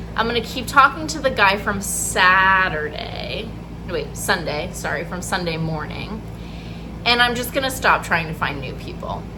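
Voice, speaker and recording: A woman talks at a moderate pace, her loudness swinging widely. Noticeable background noise and audible room echo fill the recording. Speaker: vlogger and therapist. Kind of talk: casual vlog. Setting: outdoors outside a coffee shop. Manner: talking quietly.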